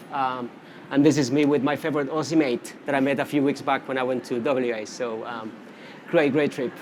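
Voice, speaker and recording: A man with a Spanish accent talks at a fairly quick pace, his medium pitch carried on fairly even intonation. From Canary Islands, Spain. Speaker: social media marketing specialist. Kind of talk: conference presentation. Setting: conference stage with audience. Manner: casual, many fillers.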